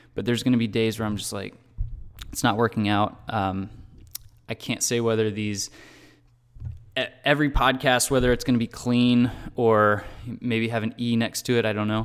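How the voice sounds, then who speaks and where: A man speaks in a monotone with flat intonation. He leaves long, frequent pauses. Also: medium pitch for a man, moderate pace. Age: 20s. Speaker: entrepreneur video blogger / podcaster. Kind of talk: solo monologue vlog. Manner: hesitant, many fillers.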